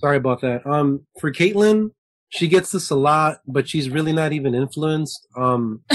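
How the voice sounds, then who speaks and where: Here a man with an American accent talks at a moderate pace, his pitch fairly high with ordinary variation. The sound is dry and close, with no echo. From Southern California, Lakewood. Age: 20s. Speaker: musician in a band. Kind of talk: casual interview chat.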